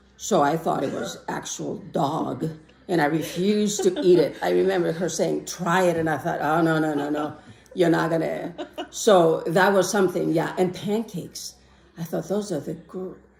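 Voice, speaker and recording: A woman's fairly low voice with vocal fry and ordinary pitch variation. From Greece. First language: Greek. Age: 60s. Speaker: interviewee, immigrant. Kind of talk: interview testimony.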